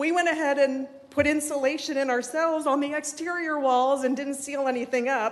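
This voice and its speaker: Shaky, nervous-toned speech at a fairly quick pace with hardly any pauses, fairly even intonation, and noticeable background noise. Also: woman, high pitch for a woman. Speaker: resident speaking at public comment. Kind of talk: public comment at city meeting. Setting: city commission meeting room. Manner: shaky, nervous voice.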